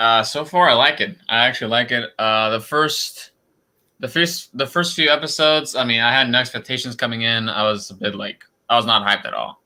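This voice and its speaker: The man's tone is bright and sharp, at a medium pitch. He talks at a moderate pace with ordinary pitch variation. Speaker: interviewee, monster fan. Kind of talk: live stream interview. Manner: halting.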